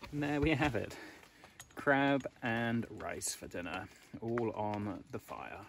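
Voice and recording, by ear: A man with vocal fry, ordinary pitch variation and a slow pace. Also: medium pitch for a man.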